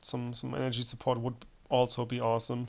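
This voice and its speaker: In a German accent, a man speaks at a medium pitch with monotone, flat intonation. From Germany. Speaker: gaming streamer. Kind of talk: gameplay commentary. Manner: halting, with many fillers and repetitions.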